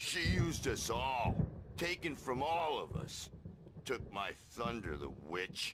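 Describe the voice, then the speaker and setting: A man does a raspy, put-on character voice at a medium pitch, with very wide pitch swings and a fairly slow pace. Background noise is clearly heard. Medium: video game. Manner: gruff, says 'man'.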